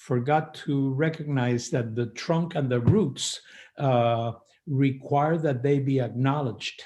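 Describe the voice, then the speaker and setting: Very slow and somewhat breathy, the voice has a dark, mellow tone and fairly even intonation. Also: man, medium pitch for a man. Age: 70s. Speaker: faith leader. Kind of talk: panel discussion.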